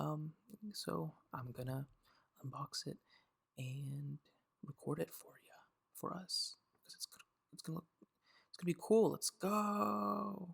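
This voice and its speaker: The speaker is soft-spoken, with a relaxed tone. The pace is fairly slow, broken by long, frequent pauses. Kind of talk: ASMR unboxing, casual talk to camera. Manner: soft-spoken, relaxed.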